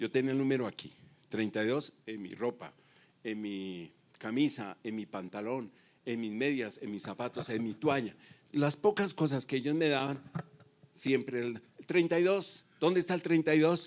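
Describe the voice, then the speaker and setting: Pausing long and often, a man speaks at a medium pitch and a moderate pace with lively intonation. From Colombia, Bogotá. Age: 60s. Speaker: pastor. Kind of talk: sermon.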